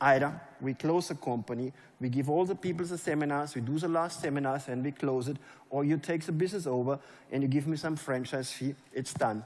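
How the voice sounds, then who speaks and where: A man with a German accent at a fairly high pitch, fairly quick in pace, with ordinary pitch variation. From Germany. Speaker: network marketing leader. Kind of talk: motivational speech. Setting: stage with audience.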